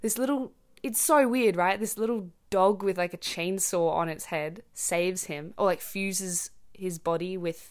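On a very clean recording with a silent background, a woman speaks in an Australian accent. Her pitch is fairly low with ordinary variation, and her pace is fairly slow. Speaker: podcast host for English learners. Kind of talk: casual monologue, natural English for learners. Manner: casual, many filler words.

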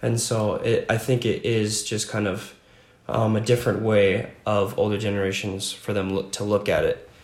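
At a moderate pace, a man with a fairly low voice talks in a somewhat breathy, monotone, flat way. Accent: American. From Franklin, Virginia. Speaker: college student. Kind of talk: interview.

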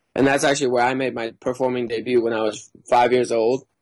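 A man with an American accent, medium-pitched, flat and monotone, at a fairly quick pace. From Mexico and US circus life. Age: 20s. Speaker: circus performer. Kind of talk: casual chat.

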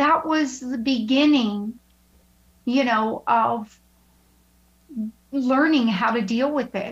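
With long, frequent pauses, a woman speaks slowly at a high pitch, her tone fairly bright and her pitch varying in an ordinary way.

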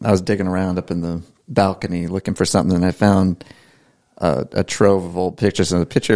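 In an American accent, a man with a very deep, low pitch and a dark, mellow tone talks at a fairly quick pace with ordinary pitch variation. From Maryland. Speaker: podcast host. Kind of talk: casual chat.

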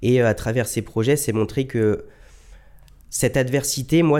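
The tone is dark and mellow on a very clean recording with a silent background. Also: man. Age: 20s. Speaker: lung transplant recipient and marathon runner. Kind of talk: testimony. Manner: hesitant, many fillers.

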